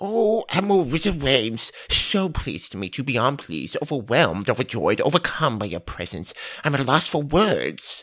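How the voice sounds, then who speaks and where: A man puts on a character voice, fairly high in pitch, at a moderate pace. He barely pauses, and the recording is very clean with a silent background. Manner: gushing, fast, as if running out of time.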